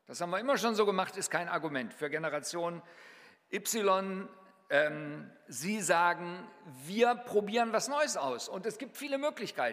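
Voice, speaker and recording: A high male voice with very wide pitch swings, a moderate pace and long, frequent pauses over noticeable background noise. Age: 60s. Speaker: mission leader and guest preacher. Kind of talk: sermon.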